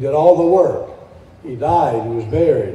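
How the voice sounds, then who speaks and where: A man talks at a moderate pace with ordinary pitch variation. Audible room echo surrounds his voice. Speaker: preacher. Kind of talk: sermon. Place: church. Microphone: podium.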